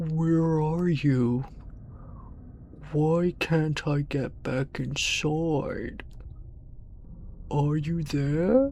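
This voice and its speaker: A put-on character voice at middle pitch moves at a very slow pace. Long, frequent pauses break it up over clear background noise. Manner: eerie, pleading.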